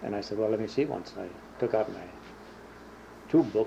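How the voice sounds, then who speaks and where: A man with an Upper Midwest accent talks in a fairly low voice with ordinary pitch variation. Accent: Upper Midwest American. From Minnesota. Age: 60s. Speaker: war veteran. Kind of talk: oral history interview. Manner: halting.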